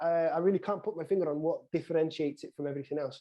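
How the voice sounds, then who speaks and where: A man's high-pitched voice with a dark, mellow tone at a very fast pace. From Wales. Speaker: sports podcast co-host. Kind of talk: casual chat. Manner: halting.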